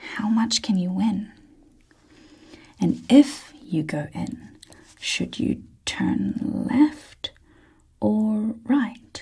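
A soft-spoken woman talks at a very slow pace. She leaves long, frequent pauses against a quiet background. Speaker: ASMR reader. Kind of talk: ASMR book reading. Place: studio.

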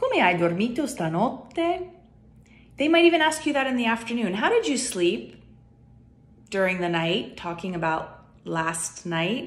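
With very wide pitch swings, the speaker goes at a fairly slow pace and leaves long, frequent pauses. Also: woman. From United States. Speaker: YouTuber. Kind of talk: casual vlog talk. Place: home room. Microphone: phone near.

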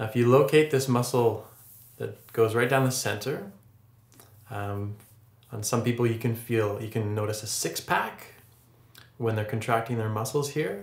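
A man with a medium pitch sounds somewhat breathy and calm, his intonation fairly even. He leaves long, frequent pauses, and room echo is audible. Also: moderate pace. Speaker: yoga instructor. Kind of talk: tutorial. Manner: calm, instructive. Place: home room.

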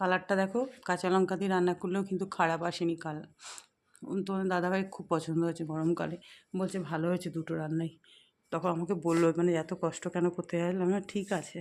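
A woman's fairly low-pitched, monotone voice with flat intonation, on a very clean recording with a silent background. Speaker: cooking vlogger. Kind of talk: casual vlog narration. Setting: at home, kitchen and rooftop. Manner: soft-spoken.

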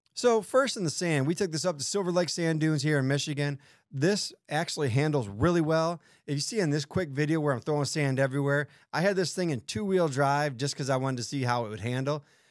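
The room behind him is silent. He, a man, speaks extremely quickly. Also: ordinary pitch variation, dry sound with no echo. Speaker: off-road vehicle reviewer. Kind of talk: casual product review. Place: studio. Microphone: studio mic.

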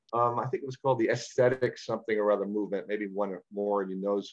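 Someone speaks with a New York accent against a quiet background. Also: man. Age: 60s. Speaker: parrot enthusiast and speaker; presenter. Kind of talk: illustrated talk with Q&A. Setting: video call. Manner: articulate; entertaining. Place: home room. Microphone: webcam.

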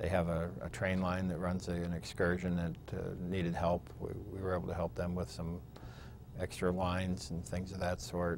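With noticeable background noise, the voice has vocal fry, fairly even intonation, and a dry sound with no echo. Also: man, very deep, low pitch for a man, moderate pace. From Pennsylvania. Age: 50s. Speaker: state legislator. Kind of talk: oral history interview. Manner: hesitant with fillers. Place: studio. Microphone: lapel.

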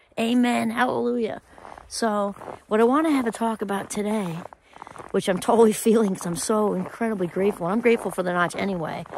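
Ordinary pitch variation marks this very fast speech, recorded dry with no echo and light background noise behind it. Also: woman. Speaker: vlogger. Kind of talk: casual vlog chat. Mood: upbeat, grateful. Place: open country. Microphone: phone near.

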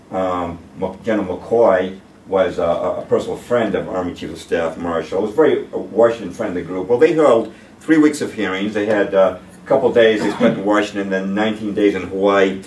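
A man's fairly low voice swings widely in loudness, with audible room echo and light background noise. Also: ordinary pitch variation, moderate pace. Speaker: presenter. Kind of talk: lecture. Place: meeting room. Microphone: camera far.

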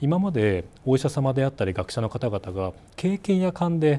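The voice has a dark, mellow tone with very wide pitch swings. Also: man. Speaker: company CEO. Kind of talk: interview. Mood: earnest, reflective. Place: office. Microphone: lapel.

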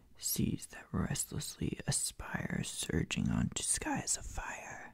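Whispering, a man speaks at a very slow pace. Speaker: poetry reader. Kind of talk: poetry reading aloud. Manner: soft-spoken close-mic ASMR reading. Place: home room. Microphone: studio mic.

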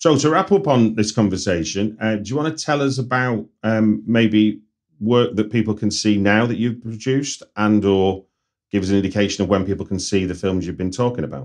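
A fairly low-pitched man's voice in a Manchester accent, against a quiet background. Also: ordinary pitch variation, fairly quick pace. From North Manchester, England. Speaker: podcast host, screenwriter. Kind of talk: casual interview chat.

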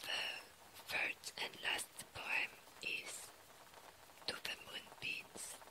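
Whispering at a very slow pace with long, frequent pauses, the voice carries over noticeable background noise. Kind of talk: poetry reading. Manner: whispered.

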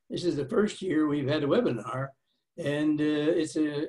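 The voice sounds somewhat breathy. Behind it, the background is quiet. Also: man. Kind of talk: opening remarks speech. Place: home room. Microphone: webcam.

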